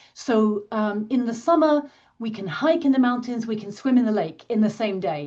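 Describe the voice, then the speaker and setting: This woman has a British accent and a fairly high pitch. She speaks at a fairly quick pace with lively intonation. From Britain. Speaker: science publishing professional. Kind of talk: interview.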